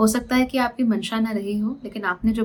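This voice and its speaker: Her voice is fairly high and somewhat breathy. The woman keeps a moderate pace. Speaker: astrologer. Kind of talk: monthly horoscope reading to camera. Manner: conversational, mixing English phrases.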